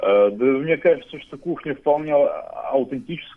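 A man is speaking. His pace is moderate. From Russia, Saint Petersburg. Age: 20s. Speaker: radio listener and musician. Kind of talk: interview. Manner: halting.

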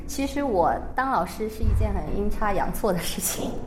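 Speaking at a moderate pace, a woman is heard with audible room echo and noticeable background noise. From China. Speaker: primary school Chinese teacher. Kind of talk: radio interview.

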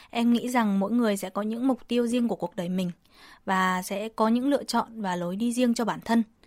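On a very clean recording with a silent background, a woman talks at a fairly quick pace and fairly high pitch, keeping her intonation fairly even. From Vietnam. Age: 20s. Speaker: university student. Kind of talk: radio interview. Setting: radio studio. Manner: hesitant, frequent fillers.

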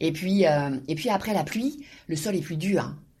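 A woman speaks in a fairly low, somewhat breathy voice with a dark, mellow tone. Her pitch varies in an ordinary way. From Normandy, France. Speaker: university professor and author. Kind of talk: interview. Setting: office. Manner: halting, frequent repetitions and hesitations.

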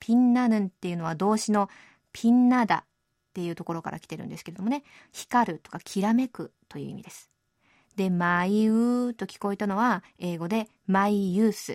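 A woman's normal speaking voice, fairly high in pitch, with lively intonation at a moderate pace, in a very clean recording with a silent background and a dry, close sound with no echo. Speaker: radio host. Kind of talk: radio show hosting. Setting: studio. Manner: cheerful, friendly.

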